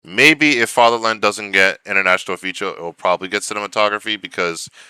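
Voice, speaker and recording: A man's bright, sharp tone with a dry, close sound and no echo on a very clean recording with a silent background. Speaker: film awards commentator. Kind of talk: casual vlog monologue. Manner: halting.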